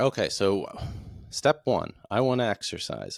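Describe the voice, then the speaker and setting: Recorded very cleanly, with a silent background and a dry, close sound with no echo, a man talks at a fairly slow pace with ordinary pitch variation in an unremarkable speaking voice. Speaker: podcast host. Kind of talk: solo podcast monologue.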